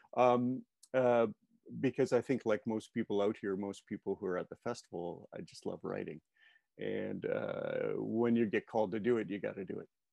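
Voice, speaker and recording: A man at a moderate pace, in a dry sound with no echo and a quiet background. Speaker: screenwriting juror and workshop leader. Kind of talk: interview. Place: home room. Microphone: earbuds.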